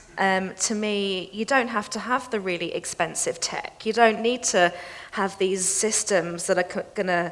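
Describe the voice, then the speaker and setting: A woman speaks with a British accent at a medium pitch. Her intonation is fairly even and her pace moderate. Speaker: financial crime specialist. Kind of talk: panel discussion.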